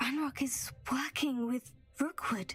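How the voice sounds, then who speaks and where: A woman performs a put-on character voice. It is high-pitched and delivered at a fairly slow pace. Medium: video game. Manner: polite, reserved.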